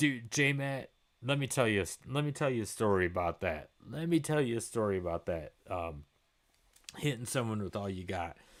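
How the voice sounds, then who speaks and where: A man with an American accent speaks at a moderate pace in a medium pitch. His tone is animated, with lively intonation. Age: 40s. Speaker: gaming live streamer. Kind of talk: casual live stream chat.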